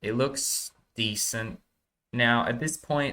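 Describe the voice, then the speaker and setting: In an Australian accent, a bright, sharp tone moves at a fairly slow pace with fairly even intonation. The recording is very clean, with a silent background. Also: man. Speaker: animation tutorial creator. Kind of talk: tutorial. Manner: casual, hesitant with fillers.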